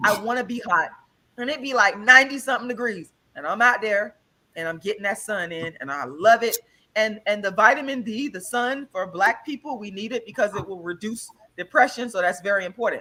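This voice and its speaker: A woman's bright, sharp voice, fairly high in pitch, animated and with lively intonation, big swings in loudness and a fairly quick pace. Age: 40s. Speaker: vegan health guest. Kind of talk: casual chat.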